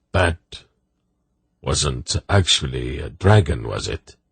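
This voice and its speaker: In a put-on character voice, the speaker talks at a very slow pace with lively intonation, the sound dry and close with no echo. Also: man, very deep, low pitch for a man. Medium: read story.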